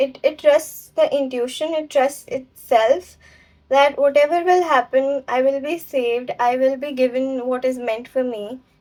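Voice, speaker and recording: At a fairly slow pace, a woman speaks in a high voice with ordinary pitch variation. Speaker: tarot reader. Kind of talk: tarot reading. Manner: usually slow and clear.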